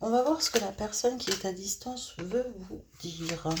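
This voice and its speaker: At a very slow pace, a woman speaks with lively intonation and a medium pitch, her voice somewhat breathy. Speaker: tarot card reader. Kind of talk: tarot reading. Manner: hesitant, many fillers.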